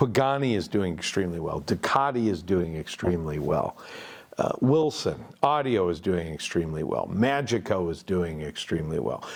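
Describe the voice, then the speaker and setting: A man's very deep, low voice at a moderate pace, with very wide pitch swings. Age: 60s. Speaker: audio company founder and podcast host. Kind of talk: casual interview chat. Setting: listening room studio.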